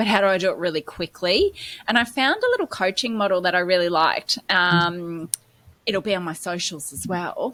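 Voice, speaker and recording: A woman talks at a moderate pace with an Australian accent. Her pitch is medium, with ordinary variation. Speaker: podcast co-host, business coach. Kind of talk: casual podcast discussion.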